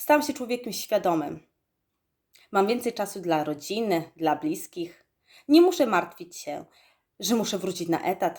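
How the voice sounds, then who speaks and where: A woman's medium-pitched voice at a fairly slow pace, with long, frequent pauses and very wide pitch swings, on a very clean recording with a silent background. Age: 20s. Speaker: network marketing distributor. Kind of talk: testimony. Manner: formal.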